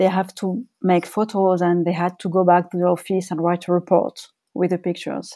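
A woman speaks at a moderate pace in a French accent, her pitch medium. Her tone is dark and mellow, on a very clean recording with a silent background. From France. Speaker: journalist and author. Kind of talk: interview. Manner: hesitant, with fillers.

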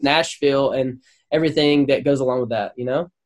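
Recorded dry and close with no echo, a man with a Southern US accent talks at a very fast pace. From Louisiana. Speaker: songwriter and producer. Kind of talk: casual interview.

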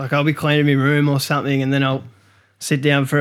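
In an Australian accent, a man speaks at medium pitch with monotone, flat intonation. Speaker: podcast co-host. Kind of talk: casual chat. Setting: studio.

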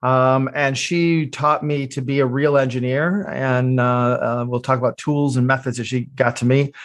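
Medium pitch for a man, a moderate pace with hardly any pauses, fairly even intonation, over a quiet background. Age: 50s. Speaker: product development consultant and engineer. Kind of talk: interview. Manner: halting, many fillers.

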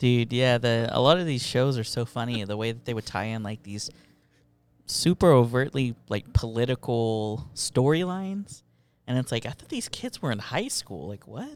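The speech has lively intonation and big swings in loudness at a moderate pace. The recording is very clean, with a silent background. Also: man, medium pitch for a man. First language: Spanish. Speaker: podcast host. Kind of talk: casual chat. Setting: studio.

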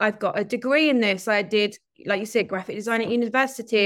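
An ordinary speaking voice moves at a fairly quick pace with fairly even intonation on a very clean recording with a silent background. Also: woman. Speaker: marketing and sales strategy coach. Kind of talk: casual interview chat.

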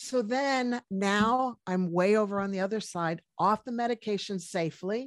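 A woman with an American accent has an unremarkable speaking voice, medium pitch, and ordinary pitch variation. She keeps a moderate pace with hardly any pauses, in a dry, close sound with no echo. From US, Washington D.C. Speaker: medical doctor. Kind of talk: interview.

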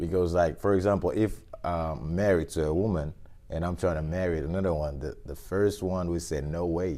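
Fairly quick speech in a West African accent, dark and mellow in tone with fairly even intonation. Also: man, very deep, low pitch for a man. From Guinea (born in Liberia). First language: Fula. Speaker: used car dealer. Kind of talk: casual interview chat.

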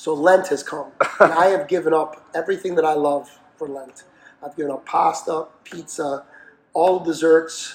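Over noticeable background noise, a man with a fairly high pitch speaks at a moderate pace in a monotone, flat intonation, with big swings in loudness. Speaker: boxing trainer. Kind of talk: casual chat.

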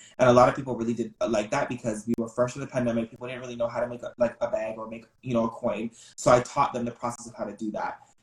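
A man talks at a very fast pace with hardly any pauses, using a medium pitch and monotone, flat intonation. His voice is somewhat breathy, with big swings in loudness. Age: 20s. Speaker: social media content creator. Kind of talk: casual interview.

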